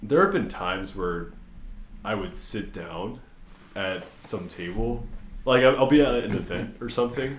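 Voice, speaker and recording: A man talks loudly at a medium pitch and a fairly slow pace, his pitch swinging very widely. Long, frequent pauses break up his speech, and room echo is audible. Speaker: podcast host. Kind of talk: casual chat. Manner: animated.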